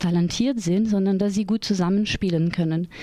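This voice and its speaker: Fairly quickly and with monotone, flat intonation, a woman delivers her lines. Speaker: theatre educator and project leader. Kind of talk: radio interview. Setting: radio studio.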